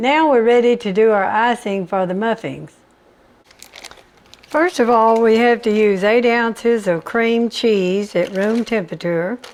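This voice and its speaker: A woman with a Southern US accent, fairly high pitch and ordinary pitch variation, at a fairly slow pace, with noticeable background noise. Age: 90s. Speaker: home cook. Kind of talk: cooking tutorial; personal anecdote. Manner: casual, homespun.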